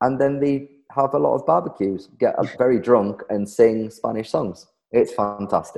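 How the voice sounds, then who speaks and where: Lively intonation marks this man's speech, delivered at a moderate pace and a medium pitch. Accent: Geordie. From Darlington, northeast England. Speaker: guest, social media creator teaching Spanish quirks. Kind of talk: casual interview chat.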